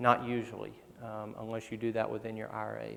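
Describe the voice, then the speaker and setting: A man speaking at a medium pitch. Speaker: financial adviser. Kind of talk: conference presentation. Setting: stage with audience. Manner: fast.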